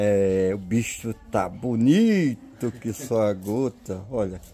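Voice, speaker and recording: There is light background noise behind a man whose voice has a dark, mellow tone. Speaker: home video narrator. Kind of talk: casual vlog chat. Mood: cheerful, celebratory. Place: street. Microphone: phone near.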